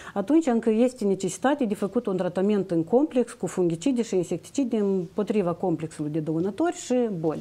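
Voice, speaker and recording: This woman's dark, mellow tone carries lively intonation at a moderate pace. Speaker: plant health monitoring official. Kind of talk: expert interview. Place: studio. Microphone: lapel.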